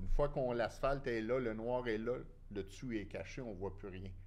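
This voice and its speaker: Moderate pace, ordinary pitch variation and audible room echo. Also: man. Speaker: former construction businessman, inquiry witness. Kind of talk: casual chat.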